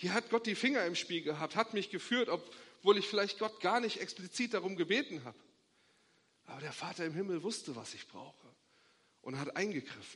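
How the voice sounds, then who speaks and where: A man speaks with a high pitch and a warm tone. His intonation is lively and his pace fairly quick. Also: big swings in loudness. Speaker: pastor. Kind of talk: sermon, preacher in full flow, urgent and rousing. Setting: church. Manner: emphatic, insistent, repeating short imperatives; warm, hopeful, rising to a blessing.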